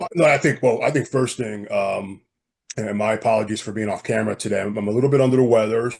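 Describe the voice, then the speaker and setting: A man's put-on character voice, raspy and medium-pitched, rattled off at a very fast pace. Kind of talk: business meeting.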